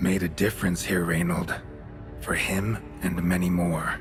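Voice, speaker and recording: Over loud music in the background, a man performs a put-on character voice at a very deep, low pitch and a moderate pace. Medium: video game. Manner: terse, dry.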